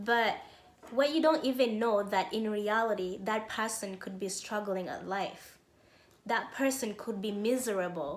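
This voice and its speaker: A woman's fairly high voice with a non-native accent, at a fairly slow pace, ordinary pitch variation, noticeable background noise and audible room echo. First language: not English. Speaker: self-help YouTuber. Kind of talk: motivational talk.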